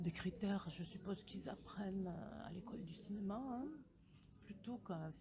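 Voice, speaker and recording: A medium-pitched woman's voice at a fairly slow pace. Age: 60s. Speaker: interviewee, retiree. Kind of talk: street interview.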